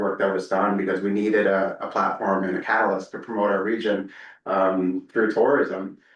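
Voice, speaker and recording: This man's pitch sits fairly low. He talks at a very fast pace. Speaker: tourism organization presenter. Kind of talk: presentation to council. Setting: council meeting.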